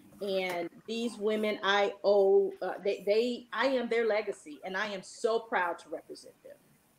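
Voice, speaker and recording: A normal speaking voice at a fairly slow pace, with big swings in loudness, fairly even intonation and hardly any pauses. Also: woman, medium pitch for a woman. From Richmond, Virginia. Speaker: English teacher. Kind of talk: panel discussion.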